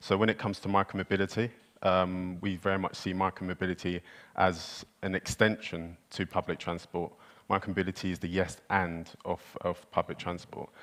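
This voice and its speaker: In a very clean recording with a silent background, a man with a British accent talks in a very deep, low pitch with monotone, flat intonation. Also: moderate pace. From United Kingdom. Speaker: micromobility company representative. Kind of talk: panel discussion.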